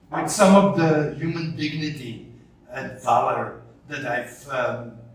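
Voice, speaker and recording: A man with a fairly high voice speaks very slowly over noticeable background noise, with audible room echo. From Belgium. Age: 60s. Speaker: journalist and writer. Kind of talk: interview.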